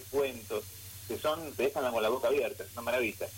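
A somewhat breathy man in a Buenos Aires accent, with ordinary pitch variation. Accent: Rioplatense Spanish (Buenos Aires). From Argentina, Buenos Aires. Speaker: writer and illustrator. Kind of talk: radio interview. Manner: halting.

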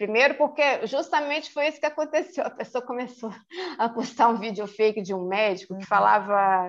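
The delivery is fairly quick with lively intonation. Loudness swings widely throughout. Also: woman, fairly high pitch for a woman. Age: 50s. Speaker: court office assistant. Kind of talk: casual interview. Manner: halting, many repetitions.

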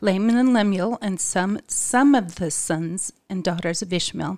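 A woman of medium pitch talks with ordinary pitch variation. Hers is a normal speaking voice. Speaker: podcast co-host. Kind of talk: casual religious discussion.

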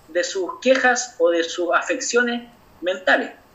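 Noticeable background noise surrounds a man with an extremely high pitch. He speaks at a fairly slow pace with ordinary pitch variation. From Chile, Aconcagua Valley (San Felipe). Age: 20s. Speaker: doctor. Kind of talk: interview.

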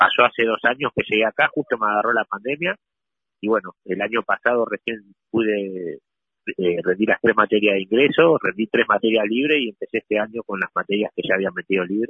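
A man talks at a fairly quick pace with a fairly low pitch and ordinary pitch variation. He has an ordinary speaking voice. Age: 40s. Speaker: prisoner and university student. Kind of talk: interview. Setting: phone call.

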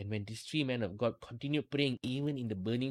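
In a very clean recording with a silent background, a man uses an ordinary speaking voice at a medium pitch with ordinary pitch variation. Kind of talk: fervent prayer. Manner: earnest, pleading, devout.

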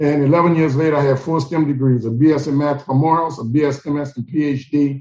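With an American accent, a man speaks at a fairly high pitch in a somewhat breathy voice with a dark, mellow tone. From New Orleans, Louisiana. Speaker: motivational speaker and STEM educator. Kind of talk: interview. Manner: animated.

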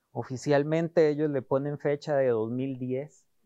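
This man talks at a very slow pace in a medium pitch, with a Costa Rican accent. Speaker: design sprint facilitator. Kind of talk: interview.

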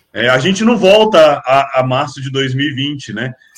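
A man speaks with lively intonation. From Brasília, Brazil. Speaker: marketing professor. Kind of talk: interview. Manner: halting, many fillers.

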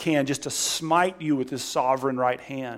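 Fairly high-pitched male speech at a moderate pace, with ordinary pitch variation. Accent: Southern US. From Alabama, US South. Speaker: guest preacher. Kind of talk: sermon. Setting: church.

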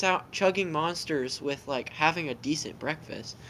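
A man speaks in a raised, projected voice with a bright, sharp tone. His pace is moderate. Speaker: guest interviewee. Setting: video call.

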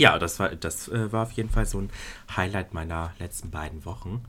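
A man's very deep, low voice with a bright, sharp tone, on a very clean recording against a silent background. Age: 20s. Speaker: podcast co-host. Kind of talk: casual chat.

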